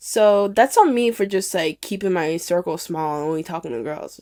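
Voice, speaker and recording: The recording is very clean, with a silent background. A woman talks at a fairly quick pace with lively intonation. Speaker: podcast host. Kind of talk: casual personal monologue. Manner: loud when excited.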